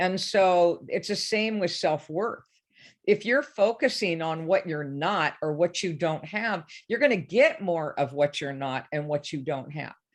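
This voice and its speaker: An unremarkable speaking voice moves at a fairly slow pace with lively intonation. The background is quiet. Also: woman, fairly low pitch for a woman. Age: 60s. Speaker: life coach. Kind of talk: interview.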